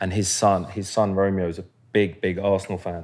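A very clean recording with a silent background carries speech at a moderate pace. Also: man. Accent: London. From South London, Croydon. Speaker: professional footballer. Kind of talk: casual chat.

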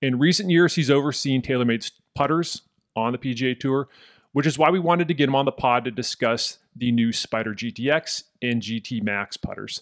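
Heard in a dry, close sound with no echo, a man with an unremarkable speaking voice talks at a fairly quick pace, his medium pitch showing ordinary variation. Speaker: podcast host. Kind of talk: casual interview.

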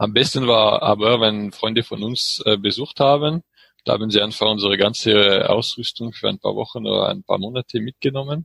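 Speaking in a French accent at a moderate pace, a man has a medium pitch, ordinary pitch variation and a bright, sharp tone in a dry, close sound with no echo. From France, French Alps near Grenoble. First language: French (speaking German). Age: 30s. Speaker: engineer and cycling traveler. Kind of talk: interview. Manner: halting, many fillers.

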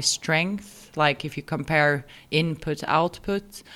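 A fairly low-pitched woman speaks with a Swedish accent in a very clean recording with a silent background. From Sweden. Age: 30s. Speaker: amateur triathlete. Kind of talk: interview.

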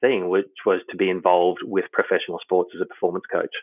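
A man speaks with an Australian accent. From Australia, Queensland. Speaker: human performance consultant. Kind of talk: interview.

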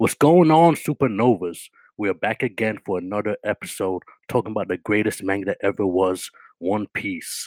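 A plain, everyday voice with ordinary pitch variation over a quiet background. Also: man. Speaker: podcast co-host. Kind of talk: casual banter podcast.

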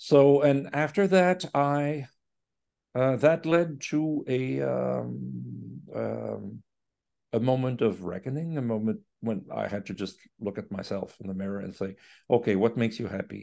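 A man speaks with a Quebec accent at a fairly slow pace. His loudness swings widely. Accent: Québécois French-accented English. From Quebec City. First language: French. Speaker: orchestra conductor. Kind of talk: interview conversation. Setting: remote call. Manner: halting.

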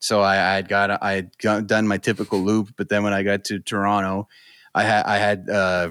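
With a Maritime Canadian accent, a man speaks at a fairly low pitch in a bright, sharp tone with monotone, flat intonation, in a very clean recording with a silent background and a dry, close sound with no echo. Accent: Maritime Canadian, slight Newfoundland-like. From New Brunswick, Canada. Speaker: podcast co-host. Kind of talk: casual banter among friends.

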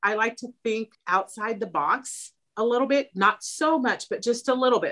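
A woman with an American accent speaks at a moderate pace in an unremarkable speaking voice, her fairly high pitch carried by lively intonation. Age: 50s. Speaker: therapist and home sewist. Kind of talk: casual interview.

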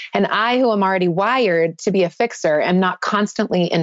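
A woman talks in a plain, everyday voice at medium pitch. Her pace is moderate and her pitch variation ordinary. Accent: American. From US South. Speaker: author and minister. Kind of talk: casual interview chat.

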